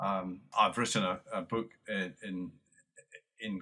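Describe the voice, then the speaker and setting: This is a man with a Scottish accent. His tone is bright and sharp. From lowland Scotland. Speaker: retired army general and military historian. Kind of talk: interview. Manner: halting, many fillers and repetitions.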